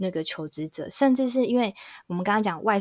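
In a very clean recording with a silent background, a woman talks at a fairly quick pace. Hers is an ordinary speaking voice, medium in pitch, with ordinary pitch variation. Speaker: HR recruitment specialist. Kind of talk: casual chat.

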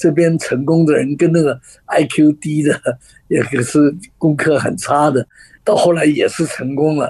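Somewhat breathy, the voice keeps a fairly even intonation at a fairly slow pace. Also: man, fairly high pitch for a man. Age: 80s+. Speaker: author and communication trainer. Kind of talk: radio interview.

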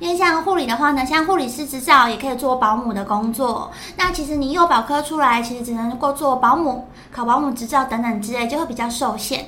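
In a Taiwanese accent, a woman projects a raised, high-pitched voice at a fairly quick pace, with noticeable background noise and audible room echo. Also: ordinary pitch variation. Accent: Taiwanese Mandarin. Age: 20s. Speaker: former nurse. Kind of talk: interview testimony.

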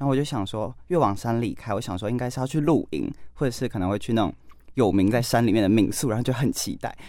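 A very fast-talking man at medium pitch, dark and mellow in tone, with ordinary pitch variation, on a very clean recording with a silent background. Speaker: journalism student. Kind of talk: casual chat.

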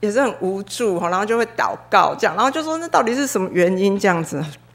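Speaking at a fairly quick pace, a woman makes very wide pitch swings. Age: 40s. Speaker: church member giving testimony. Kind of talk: testimony. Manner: halting, many fillers.

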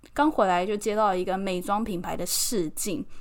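Speech in a Taiwanese accent comes at a fairly slow pace with lively intonation, on a very clean recording with a silent background. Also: woman. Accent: Taiwanese Mandarin. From Taiwan, Keelung. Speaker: podcast host and model. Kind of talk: casual solo podcast monologue.

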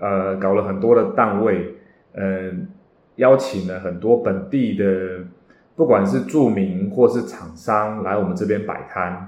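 A man with a fairly low pitch, a fairly slow pace, and audible room echo. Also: ordinary pitch variation. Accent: Taiwanese. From Taiwan. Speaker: real estate agent and podcast host. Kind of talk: podcast monologue. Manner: many hesitation fillers.

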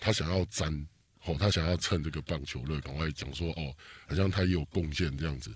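Over a very clean recording with a silent background, a man with a very deep, low voice talks at a fairly quick pace with lively intonation and vocal fry. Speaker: political podcast host. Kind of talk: casual chat. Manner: animated.

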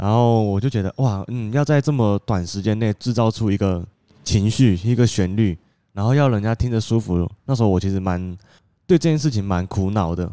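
In a very clean recording with a silent background and a dry, close sound with no echo, a man speaks at a fairly quick pace in a dark, mellow tone with ordinary pitch variation. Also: fairly low pitch for a man. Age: young. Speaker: musician and co-host. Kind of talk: casual chat.

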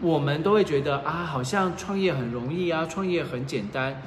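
A man with a fairly high pitch speaks at a fairly quick pace, his intonation lively. Noticeable background noise and audible room echo fill the recording. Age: 40s. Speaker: former journalist and PR manager, online reseller. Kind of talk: casual chat. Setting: livestream in an apartment.

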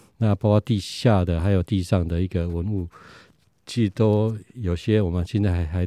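A man with a very deep, low pitch and a dark, mellow tone speaks at a moderate pace with fairly even intonation. The recording is dry and close, with no echo. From Taiwan, Nantou. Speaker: history professor. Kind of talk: interview. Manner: halting, many fillers.

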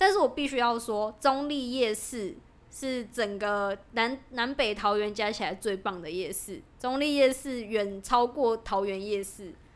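Speaking at a fairly slow pace with hardly any pauses, a woman uses an unremarkable speaking voice, a fairly high pitch and ordinary pitch variation. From Taiwan, Taoyuan (Zhongli/Pingzhen). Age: 20s. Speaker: podcast co-host, startup employee. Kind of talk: casual chat.

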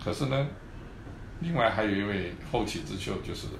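A somewhat breathy man speaks at a moderate pace with ordinary pitch variation, and room echo is audible. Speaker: orthopedic surgeon. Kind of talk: interview. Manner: halting, many fillers and repetitions.

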